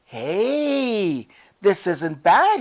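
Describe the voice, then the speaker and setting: A woman's whiny, put-on character voice at a medium pitch, with very wide pitch swings. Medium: read story.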